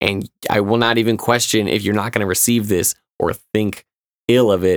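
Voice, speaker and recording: At a moderate pace, a man with an American accent speaks at a fairly low pitch in a dry, close recording with no echo. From Illinois, Chicago suburbs. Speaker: rapper. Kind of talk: casual chat. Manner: loud; animated.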